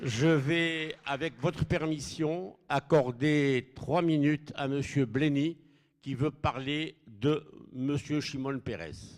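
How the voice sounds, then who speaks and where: On a very clean recording with a silent background, a man speaks very slowly in a fairly high voice with ordinary pitch variation. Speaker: event moderator. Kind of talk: event introductions.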